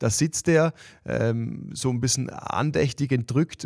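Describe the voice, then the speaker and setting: At a very slow pace, a man talks in a medium pitch with ordinary pitch variation, in a dry, close sound with no echo on a very clean recording with a silent background. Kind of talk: interview.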